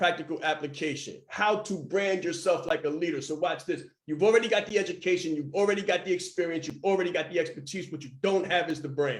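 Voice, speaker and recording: With an animated tone and a high pitch, a man races along at a very fast pace with hardly any pauses. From Harlem, New York. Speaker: branding and marketing speaker. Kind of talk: motivational talk.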